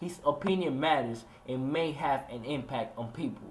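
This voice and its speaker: The speaker is a man with a Spanish accent. His pitch is fairly high. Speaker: student soldier and video essayist. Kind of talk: scripted narration.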